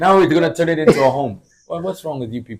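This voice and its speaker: A man speaks with an American accent at a fairly high pitch. His intonation is lively. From United States. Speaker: radio presenter. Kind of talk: casual chat. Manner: energetic.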